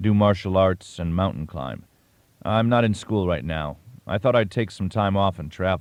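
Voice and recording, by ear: With normal pitch movement, the passage is read aloud in a natural voice.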